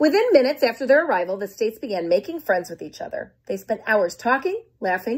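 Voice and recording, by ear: A natural voice, reading aloud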